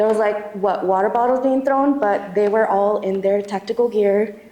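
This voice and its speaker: A woman speaks at a fairly high pitch with fairly even intonation, with audible room echo and noticeable background noise. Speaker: activist testifying at a community tribunal. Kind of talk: testimony. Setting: church hall event with audience. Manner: shaky, halting with many fillers.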